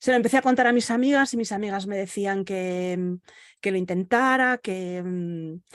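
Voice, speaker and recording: A woman at medium pitch and moderate pace, ordinary pitch variation, quiet background, dry, close sound with no echo. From Galicia, Spain. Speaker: virtual assistant and podcaster. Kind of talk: interview. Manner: halting, with many fillers.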